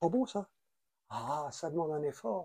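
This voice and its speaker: A man with a fairly high pitch speaks with lively intonation and a dark, mellow tone, recorded dry and close with no echo. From France. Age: 80s+. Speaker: traveler and writer. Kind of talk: interview.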